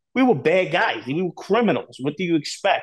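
With a New York accent, a man speaks at a fairly quick pace in an animated tone with lively intonation. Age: middle-aged. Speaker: former organized crime associate. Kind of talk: interview. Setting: video call. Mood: blunt, emphatic. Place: home room. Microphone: earbuds.

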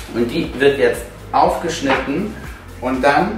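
A man at a moderate pace with ordinary pitch variation, audible room echo and music in the background. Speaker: cooking channel host. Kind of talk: tutorial. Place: kitchen.

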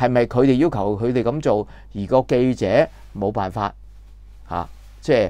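A man with a dark, mellow tone speaks at a medium pitch and a moderate pace, with ordinary pitch variation. The background is quiet and the sound is dry, with no echo. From Hong Kong. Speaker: political commentator, former TV journalist; political commentator. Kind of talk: news commentary monologue. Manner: halting, many filler sounds. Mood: indignant, critical. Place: home room. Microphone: lapel.

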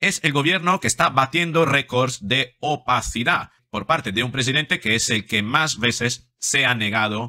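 A man talks with a bright, sharp tone and hardly any pauses. The background is quiet. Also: ordinary pitch variation, moderate pace. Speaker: psychologist commentator. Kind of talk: commentary. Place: home room. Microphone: studio mic.

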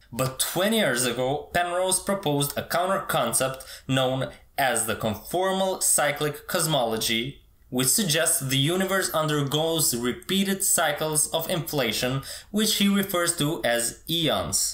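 Audible room echo surrounds a man as he talks at a fairly slow pace. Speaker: presenter. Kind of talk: educational explainer. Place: home room.

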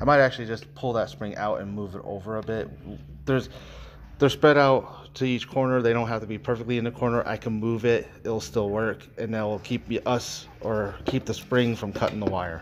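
There is light background noise behind a man. He speaks at a moderate pace with ordinary pitch variation. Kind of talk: tutorial. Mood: relaxed, matter-of-fact. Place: workshop. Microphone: phone near.

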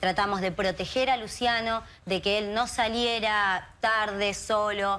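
A woman speaks at a very slow pace, her loudness staying very even throughout. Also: fairly high pitch for a woman. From Argentina, Greater Buenos Aires. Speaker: activist, sister of a missing youth. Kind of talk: TV interview. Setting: TV studio. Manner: animated. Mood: earnest, indignant, emotional. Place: studio. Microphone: lapel.

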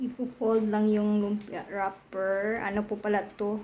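A woman's medium-pitched voice comes through with monotone, flat intonation. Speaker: cooking vlogger. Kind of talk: cooking tutorial. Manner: casual.

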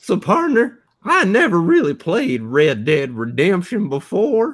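Pitched in the middle range, a put-on character voice moves at a fairly slow pace with very wide pitch swings. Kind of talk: folksy, old-fashioned slang.

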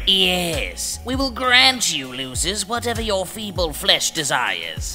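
The speech moves at a fairly slow pace with clear music in the background. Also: man. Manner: condescending, haughty.

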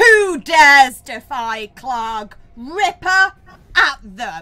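At a very slow pace, a woman performs a put-on character voice, pitched high with very wide pitch swings. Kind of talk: in-character narration. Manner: menacing, shouting.

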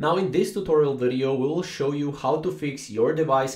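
A man at a moderate pace with ordinary pitch variation, audible room echo and a quiet background. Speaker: tutorial narrator. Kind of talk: tutorial. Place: home room.

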